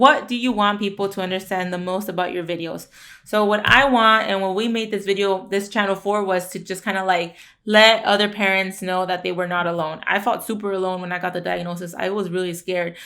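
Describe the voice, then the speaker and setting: Fairly quick and bright, sharp in tone, a woman speaks with a Spanish accent. Her pitch is medium and her intonation fairly even. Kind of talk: casual Q&A chat. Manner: fast.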